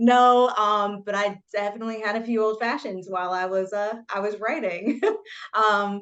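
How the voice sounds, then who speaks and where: A woman's medium-pitched voice in a Southern US accent, with ordinary pitch variation against a quiet background. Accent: Southern US, noticeable. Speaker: debut novelist. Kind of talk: interview.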